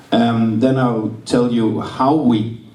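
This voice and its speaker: The man's pitch varies in an ordinary way, and his voice carries audible room echo along with noticeable background noise. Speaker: game designer and publisher. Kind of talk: lecture. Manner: halting.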